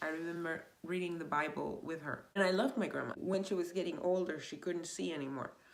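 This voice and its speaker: With a Spanish accent and an animated tone, a woman talks at a fairly quick pace in a fairly low pitch against noticeable background noise. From Venezuela. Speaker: vlogger. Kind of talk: casual monologue. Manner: halting.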